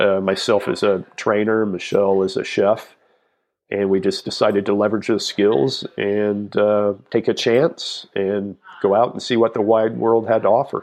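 An ordinary speaking voice comes at a moderate pace with fairly even intonation. The background is quiet. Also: man, fairly low pitch for a man. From South Texas. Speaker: fitness entrepreneur and trainer. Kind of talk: interview.

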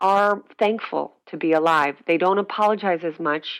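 A woman speaks with an American accent at a fairly slow pace, her pitch fairly low with ordinary variation. The recording is very clean, with a silent background. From northeastern Pennsylvania (Scranton). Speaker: actress and makeup artist. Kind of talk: interview conversation. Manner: animated.

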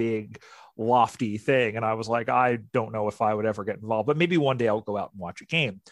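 An ordinary speaking voice from a man with an American accent, medium in pitch, at a fairly quick pace with ordinary pitch variation, on a very clean recording with a silent background. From US, Philadelphia. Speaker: sports league media coordinator and play-by-play announcer. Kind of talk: interview.

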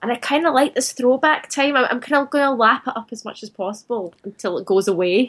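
A woman speaks at a high pitch and a fairly quick pace, with hardly any pauses. Her loudness swings widely while her pitch varies in an ordinary way. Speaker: magazine writer. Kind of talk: casual chat. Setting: Skype call.

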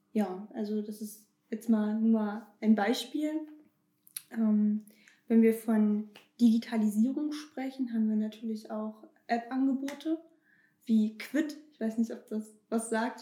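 A woman speaks at a very slow pace and a fairly high pitch, her tone dark, mellow and somewhat breathy. Long, frequent pauses break her speech, and her loudness swings widely. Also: fairly even intonation. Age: 20s. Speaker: bank marketing employee. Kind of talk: casual interview.

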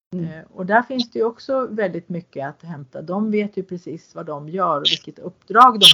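Here is a normal speaking voice from a woman with lively intonation and big swings in loudness. She keeps a moderate pace with hardly any pauses. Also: medium pitch for a woman. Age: 50s. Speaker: podcast host. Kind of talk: interview. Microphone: poor sound quality.

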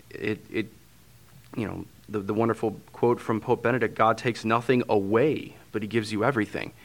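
A man speaks at a fairly quick pace in a medium pitch, with a St. Louis accent. His intonation is monotone and flat. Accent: St. Louis Midwestern American. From St. Louis, Missouri. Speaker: transitional deacon. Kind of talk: interview conversation.

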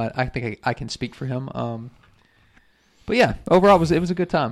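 A man talking at a very fast pace, medium in pitch. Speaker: podcast host. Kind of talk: casual chat.

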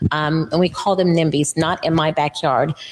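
In an American accent, a woman delivers a fairly low pitch with monotone, flat intonation. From Florida. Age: 50s. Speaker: lobbyist. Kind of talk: interview. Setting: studio.

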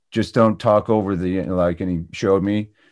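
A man talks in a normal speaking voice with a Canadian accent, at a fairly low pitch with ordinary pitch variation. His pace is moderate and the background is quiet. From Ontario, Canada. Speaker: actor and former radio DJ. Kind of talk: casual interview.

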